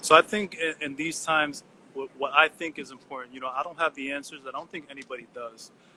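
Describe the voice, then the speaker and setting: A man with an American accent speaks very fast in a bright, sharp tone at a fairly high pitch with fairly even intonation. His loudness swings widely, and the sound is dry and close with no echo. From US Northeast (Elizabeth, New Jersey). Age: 30s. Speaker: artist. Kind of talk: interview. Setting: video call. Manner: halting.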